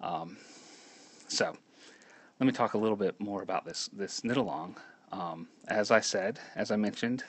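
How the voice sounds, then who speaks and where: A soft-spoken man with fairly even intonation. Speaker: knitting pattern designer. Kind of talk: live stream talk. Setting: live video stream at home. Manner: halting. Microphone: too quiet at first.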